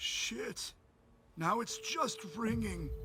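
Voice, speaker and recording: A man's raspy, put-on character voice. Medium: video game. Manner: tense, clipped.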